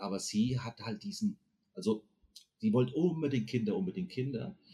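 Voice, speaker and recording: Speaking at a moderate pace, a man with a medium pitch has a dark, mellow tone, a somewhat breathy quality and very wide pitch swings. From Frankfurt am Main, Hesse, Germany. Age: 50s. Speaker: podcast guest. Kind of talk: casual interview chat.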